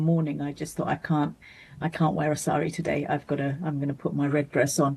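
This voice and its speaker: A woman with a British accent speaks in a very deep, low register, her tone dark and mellow. Her intonation stays fairly even, and her voice is somewhat breathy. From Bangladesh-born, raised in Britain. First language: Bengali. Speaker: mental health charity founder. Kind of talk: interview. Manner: halting, many restarts.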